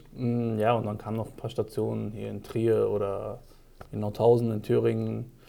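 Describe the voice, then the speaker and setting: A man with a Frankfurt accent speaks at a moderate pace. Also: big swings in loudness. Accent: sounds local, like he grew up in Frankfurt. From Germany, Frankfurt. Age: 30s. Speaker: ex-professional footballer, real estate. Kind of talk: casual interview.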